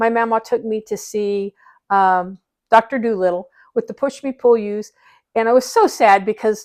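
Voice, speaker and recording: With a Midwestern American accent, a woman speaks at a moderate pace in a fairly high pitch and fairly even intonation, on a very clean recording with a silent background. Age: 60s. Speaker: interviewee, family member. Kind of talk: casual family interview, reminiscing. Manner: halting, with fillers.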